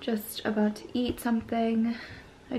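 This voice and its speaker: Light background noise sits under a female voice moving at a moderate pace. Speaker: vlogger. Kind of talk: casual vlog chat. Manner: sleepy, low-energy murmur. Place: home room. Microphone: phone near.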